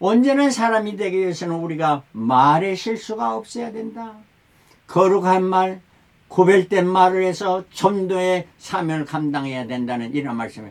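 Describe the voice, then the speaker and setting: A man speaks at a moderate pace in a high voice. His pitch swings very widely. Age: 70s. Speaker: pastor. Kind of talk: sermon.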